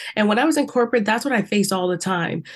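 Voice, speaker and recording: Against a quiet background, a woman with an American accent speaks at a medium pitch in an animated tone with lively intonation. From US South, South Carolina. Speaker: empowerment coach. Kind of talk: interview.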